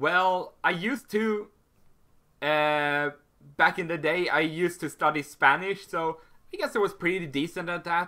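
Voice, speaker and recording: A man with a Swedish accent, high-pitched, bright and sharp in tone, with ordinary pitch variation, on a very clean recording with a silent background. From Sweden. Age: 20s. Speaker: YouTuber. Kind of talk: Q&A video monologue. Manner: halting, many fillers.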